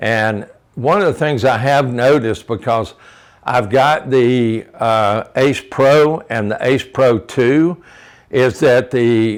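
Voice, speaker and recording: Recorded very cleanly against a silent background, a man speaks at a very slow pace. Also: medium pitch for a man, ordinary pitch variation. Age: 70s. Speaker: motorcycle vlogger. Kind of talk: casual product walkthrough. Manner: halting, many fillers.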